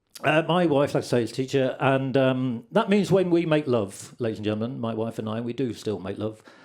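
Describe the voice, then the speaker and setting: Speaking in an unremarkable speaking voice, a man talks at a fairly quick pace and medium pitch with lively intonation. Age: 60s. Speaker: comedian. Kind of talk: stand-up. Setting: stage with audience.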